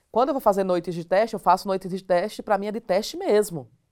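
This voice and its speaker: A woman speaks very fast in a northeastern Brazilian accent, her medium-pitched voice swinging very widely. The recording is very clean, with a silent background. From Northeast Brazil (Alagoas). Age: 40s. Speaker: stand-up comedian. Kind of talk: casual interview chat.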